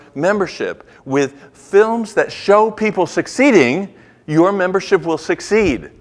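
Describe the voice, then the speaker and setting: A man's animated tone with very wide pitch swings, at a fairly slow pace over a quiet background. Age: 70s. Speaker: activist and author. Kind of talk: keynote speech.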